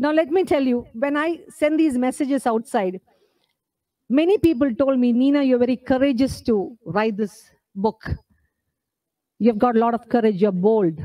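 With an Indian accent, a woman speaks at a moderate pace with long, frequent pauses over a quiet background. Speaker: book author. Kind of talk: book launch speech. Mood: earnest, personal, emphatic. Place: hall. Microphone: podium.

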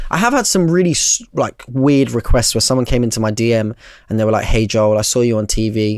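Over a quiet background, a man with a London accent speaks at medium pitch and a moderate pace, the sound dry with no echo. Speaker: barber and content creator; content creator. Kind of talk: casual chat. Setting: studio. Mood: relaxed, reflective. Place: studio. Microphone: studio mic.

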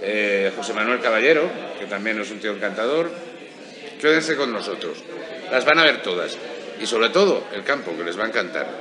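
The speaker's pitch swings very widely, with long, frequent pauses. Noticeable background noise runs underneath. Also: man, medium pitch for a man, moderate pace. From Spain. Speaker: golf show host. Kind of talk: interview. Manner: animated. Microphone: handheld.

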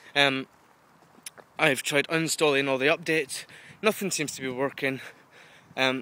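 In a dry recording with no echo, a man of medium pitch speaks in a bright, sharp tone with fairly even intonation. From UK. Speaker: video blogger. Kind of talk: casual vlog monologue. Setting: outdoors walking dog in woods. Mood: frustrated yet chatty. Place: forest. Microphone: phone near.

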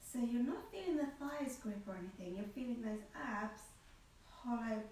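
A woman speaks with ordinary pitch variation, with light background noise and audible room echo. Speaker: Pilates instructor. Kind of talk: tutorial. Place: home room. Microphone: camera far.

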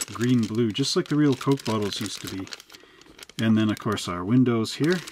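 The speech goes at a moderate pace. Noticeable background noise sits behind it. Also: man. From Canada. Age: 40s. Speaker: hobby shop owner and model kit reviewer; model kit reviewer. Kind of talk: product review.

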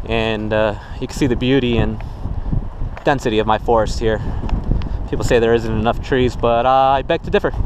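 A man speaks at a fairly quick pace, the sound dry with no echo but carrying noticeable background noise. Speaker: outdoor vlogger. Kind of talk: casual vlog chat. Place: forest. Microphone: phone near.

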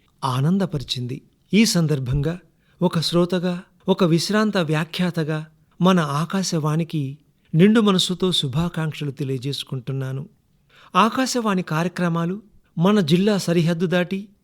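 In a very clean recording with a silent background, a man speaks with a high pitch and ordinary pitch variation. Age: 60s. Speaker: retired radio announcer. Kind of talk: recorded anniversary message. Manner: formal, poetic.

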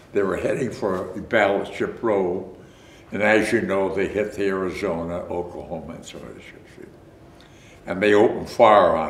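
This man's fairly low voice moves at a moderate pace with long, frequent pauses, and the room echo is audible. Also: fairly even intonation. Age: 80s+. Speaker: war veteran. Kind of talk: interview answer. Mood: reflective, recounting wartime memories. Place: home room.

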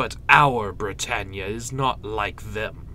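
With a theatrical, bright and sharp tone, a man speaks in vocal fry while his pitch swings very widely. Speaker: video creator. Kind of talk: villain monologue, dramatic performance of a speech. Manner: theatrical, commanding, imperious; casual, filler-heavy in intro and outro.

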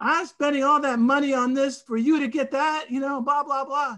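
Putting on a character voice with a strong Venezuelan accent, a man speaks at a moderate pace at an extremely high pitch. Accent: thick Venezuelan. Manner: complaining, scolding.

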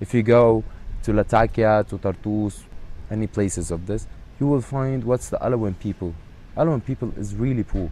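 Fairly quick and fairly low in pitch, a man's dark, mellow voice carries an Arabic accent and ordinary pitch variation. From Syria, Palestinian background. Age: 30s. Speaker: actor. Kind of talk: interview. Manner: halting.

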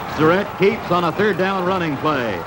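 This is a man speaking at a moderate pace. Noticeable background noise can be heard. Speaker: newsreel sports narrator. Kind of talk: 1950s newsreel sports narration, play-by-play voiceover. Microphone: old recording.

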